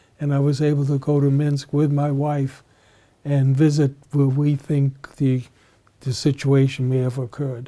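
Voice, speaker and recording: At a moderate pace, a man speaks with a fairly high pitch, a dark, mellow tone and monotone, flat intonation. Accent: American. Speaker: Holocaust survivor. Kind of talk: interview. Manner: halting.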